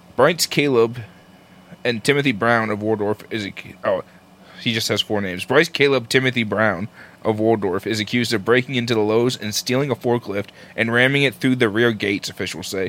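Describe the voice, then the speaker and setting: In an unremarkable speaking voice, a man talks at a fairly quick pace, with a medium pitch and ordinary pitch variation. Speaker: podcast co-host. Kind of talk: casual chat, profane banter.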